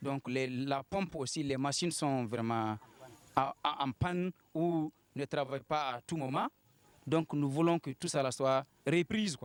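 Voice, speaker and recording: Speaking very slowly with long, frequent pauses, a man uses a fairly high pitch and ordinary pitch variation, recorded dry and close with no echo. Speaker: villager interviewed. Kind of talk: news interview. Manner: halting.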